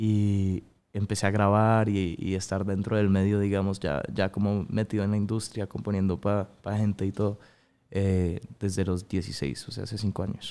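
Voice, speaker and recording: A man's fairly low, dark, mellow voice, monotone and flat in intonation, at a moderate pace. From Colombia (Bogotá), early childhood in Miami; Colombia. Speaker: singer; guest. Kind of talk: interview. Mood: relaxed, earnest. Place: studio. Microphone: studio mic.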